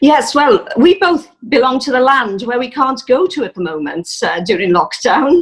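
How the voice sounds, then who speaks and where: Pitch swings very widely, with hardly any pauses. The speaker has a Welsh accent. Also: woman, high pitch for a woman, moderate pace. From South Wales, Rhondda Valleys. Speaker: musician and church member. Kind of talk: interview testimony. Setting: video call. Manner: hesitant, many fillers.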